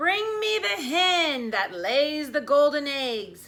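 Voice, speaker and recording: A woman's bellowing, high put-on character voice at a very slow pace, with very wide pitch swings. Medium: read story. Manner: roaring.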